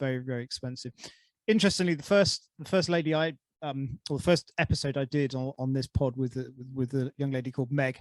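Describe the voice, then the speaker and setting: This man speaks very fast in a southern English accent, at a medium pitch with ordinary pitch variation. The sound is dry and close, with no echo. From England. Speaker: podcast host. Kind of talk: casual chat.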